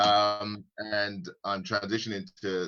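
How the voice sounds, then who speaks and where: A man's fairly low voice with a British accent, very slow pace and fairly even intonation. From UK. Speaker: forex trader and investor. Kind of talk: casual live-stream chat. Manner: halting, many fillers and repeats.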